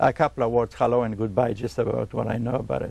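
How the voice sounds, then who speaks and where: A man with a Polish accent. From Poland. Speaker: electronics repairman. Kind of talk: interview.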